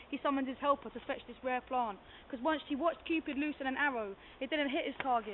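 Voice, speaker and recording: A woman's high-pitched voice at a very fast pace, with ordinary pitch variation. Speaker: rapper, poet and playwright. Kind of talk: spoken word poetry performance, story synopsis.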